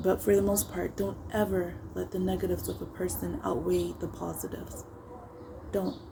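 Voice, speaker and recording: A woman keeps a moderate pace while noticeable background noise runs behind her. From Africa. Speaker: YouTuber. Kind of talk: casual talk to camera.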